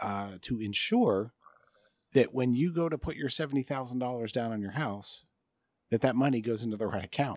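This is a man with an American accent and an ordinary speaking voice, medium in pitch with ordinary pitch variation, talking at a fairly quick pace. The recording is very clean with a silent background, and the sound is dry and close with no echo. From US Midwest (Michigan). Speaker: tech podcast co-host. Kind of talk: casual chat. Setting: outdoors by a pool.

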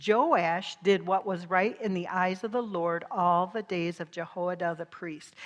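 At a fairly slow pace and with hardly any pauses, a woman speaks in a medium pitch with a warm tone. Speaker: guest preacher. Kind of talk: sermon. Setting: church. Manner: animated, fervent preacher in full flow, call-and-response with congregation; laughs often, warm and conversational.

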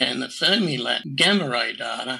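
With an Australian accent, a man talks fairly slowly at a medium pitch, his bright, sharp tone carrying vocal fry and lively intonation. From New South Wales, Australia. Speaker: amateur radio astronomer. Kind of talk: interview.

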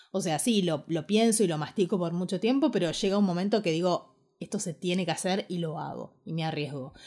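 A woman with a Rioplatense accent speaks in a dark, mellow tone at a fairly low pitch, with ordinary pitch variation. Her fairly quick delivery has hardly any pauses, and the recording is very clean with a silent background. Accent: Argentine Rioplatense Spanish. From Argentina, Ushuaia, Tierra del Fuego. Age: 30s. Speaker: podcaster and online course creator. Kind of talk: casual monologue podcast.

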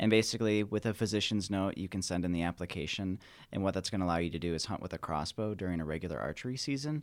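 A man with an American accent and a very deep, low pitch speaks at a very fast pace with ordinary pitch variation, in a very clean recording with a silent background. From Michigan. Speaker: wildlife biologist. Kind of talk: casual interview.

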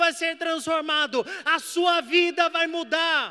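A man raises and projects his voice, extremely high in pitch with a bright, sharp tone, speaking at a very slow pace. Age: 20s. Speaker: evangelist preacher. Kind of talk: sermon.

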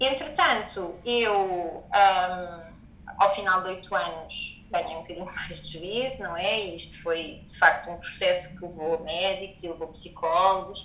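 Amid noticeable background noise, a woman at medium pitch talks with hardly any pauses, ordinary pitch variation and big swings in loudness. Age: 30s. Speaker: yoga teacher and wellness entrepreneur. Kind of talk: personal testimony in interview.

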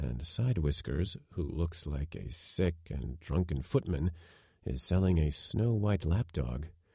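In a very clean recording with a silent background, a man with a very deep, low pitch speaks at a fairly slow pace in a theatrical tone, dark and mellow and somewhat breathy, with lively intonation. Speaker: audiobook narrator. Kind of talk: literary audiobook reading, scripted narration of a Chekhov story. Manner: measured, even storyteller pace; shifts into sneering, theatrical tones for quoted characters like the footman.

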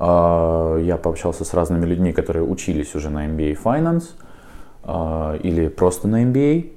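At a fairly slow pace, a man speaks in a very deep, low voice with a dark, mellow tone and ordinary pitch variation. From Ukraine, Donetsk. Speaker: university student and IT worker. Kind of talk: interview.

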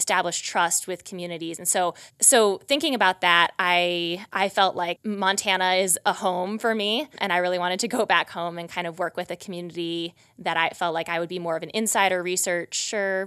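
A woman with an American accent and a plain, everyday voice speaks at a moderate pace with hardly any pauses, a fairly low pitch and fairly even intonation, on a very clean recording with a silent background. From US Midwest, rural Wisconsin. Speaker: PhD student, researcher. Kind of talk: interview. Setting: studio.

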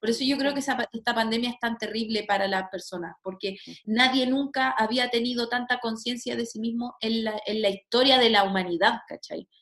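Hardly pausing, a woman with a fairly high pitch speaks at a moderate pace and a fairly even intonation. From Chile, Santiago. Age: 30s. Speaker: astrologer and sociologist. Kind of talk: casual chat. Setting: video call.

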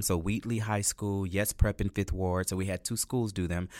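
A man with an American accent and a normal speaking voice talks at a moderate pace with a fairly low pitch. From Texas. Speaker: arts director and dance company founder. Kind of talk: interview.

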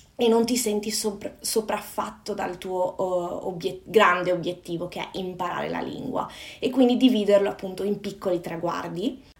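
At a moderate pace, a woman talks with medium pitch and ordinary pitch variation. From northern Italy, Padova (Veneto). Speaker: personal development coach. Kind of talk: casual interview chat. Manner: halting.

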